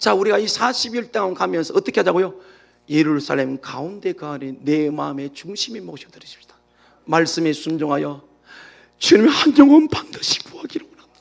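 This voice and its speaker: This man talks at a fairly quick clip with a Gyeongsang accent. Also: big swings in loudness. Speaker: pastor. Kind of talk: sermon. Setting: church. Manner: fast.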